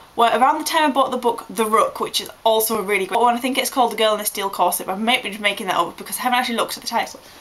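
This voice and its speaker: Amid noticeable background noise, a woman with a fairly high pitch talks at a very fast pace with ordinary pitch variation. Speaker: vlogger. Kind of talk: casual vlog monologue. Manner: animated.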